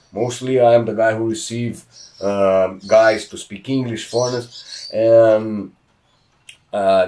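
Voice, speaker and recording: A man speaks with a Brazilian accent. His pitch sits in the medium range and his intonation stays fairly even. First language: Portuguese. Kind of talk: podcast interview.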